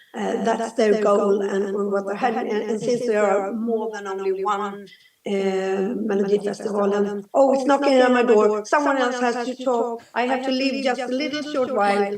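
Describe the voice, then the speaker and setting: The speech runs with hardly any pauses against noticeable background noise. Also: woman, fairly high pitch for a woman, fairly even intonation, moderate pace. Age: 60s. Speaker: musician. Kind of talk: panel discussion. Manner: halting.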